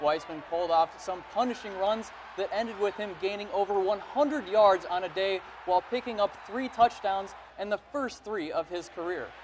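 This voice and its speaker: Noticeable background noise behind a male voice, high for a man, moving at a moderate pace with ordinary pitch variation. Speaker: sports anchor and reporter. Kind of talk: sports news anchor read.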